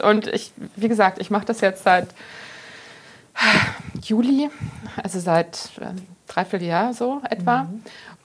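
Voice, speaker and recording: A woman's fairly high, lively-sounding voice. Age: 50s. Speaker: pharmacist and journalist, author. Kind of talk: casual interview.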